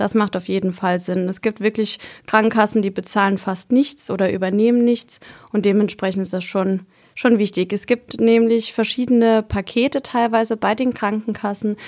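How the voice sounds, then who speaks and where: A woman's normal speaking voice at medium pitch and moderate pace, with fairly even intonation, on a very clean recording with a silent background. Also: dry, close sound with no echo. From Palatinate, southwest Germany. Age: 20s. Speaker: midwife. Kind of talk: expert interview.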